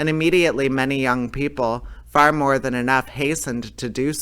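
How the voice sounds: A natural reading voice is what you hear in this clip.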